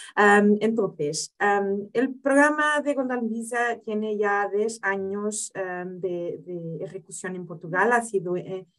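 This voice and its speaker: With a non-native accent, a woman of medium pitch speaks very slowly, her pitch varying in an ordinary way. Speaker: lawyer. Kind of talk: webinar presentation. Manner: halting.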